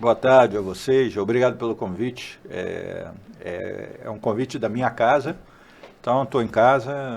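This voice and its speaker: Speaking fairly slowly, a man uses a plain, everyday voice at medium pitch with ordinary pitch variation. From Brazil, Rio de Janeiro. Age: 60s. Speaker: port industry executive. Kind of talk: casual interview.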